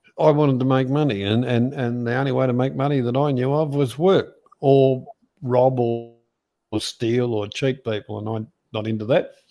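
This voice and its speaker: Over background music, a man talks at a fairly slow pace with medium pitch and fairly even intonation. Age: 60s. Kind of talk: casual chat. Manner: halting.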